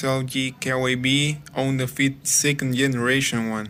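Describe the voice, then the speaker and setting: A man talks at a medium pitch with a non-native accent. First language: not English. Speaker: car DIY youtuber. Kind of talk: tutorial. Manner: hesitant, many fillers.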